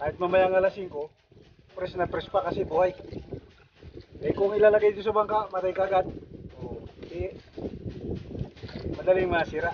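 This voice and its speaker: Over noticeable background noise, a man with a high pitch talks at a fairly quick pace in a flat monotone, broken by long, frequent pauses. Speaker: fishing vlogger. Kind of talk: casual vlog talk. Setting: outdoors on a boat at sea.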